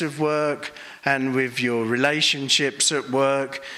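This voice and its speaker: This man speaks with an English accent. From England. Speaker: Buddhist monk and meditation teacher. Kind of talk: conference talk.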